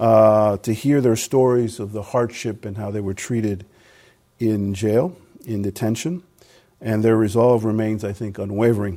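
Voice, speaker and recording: A man speaks at a medium pitch and a moderate pace. His tone is dark and mellow, with ordinary pitch variation. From Cuban American. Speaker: ambassador, former politics professor. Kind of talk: public lecture with Q&A. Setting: podium at an institute event with audience.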